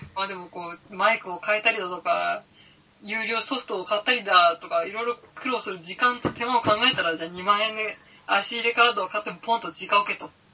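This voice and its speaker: A woman speaks at a fairly quick pace in a medium pitch, with ordinary pitch variation, big shifts in loudness, and noticeable background noise. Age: 30s. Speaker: podcaster and office worker. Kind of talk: casual chat. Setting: home recording with IC recorder. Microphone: IC recorder with cheap mic.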